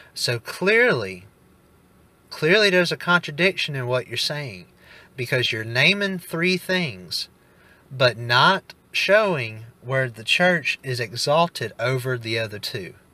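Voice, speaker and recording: A man with a Southern US accent, fairly high in pitch and bright and sharp in tone, at a very slow pace with very wide pitch swings and big swings in loudness, in a very clean recording with a silent background. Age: 20s. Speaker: Protestant debater. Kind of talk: formal debate.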